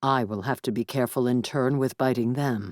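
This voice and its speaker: A put-on character voice at a low-to-middle pitch moves at a fairly quick pace. The recording is very clean, with a silent background. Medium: read story. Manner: formal, grave.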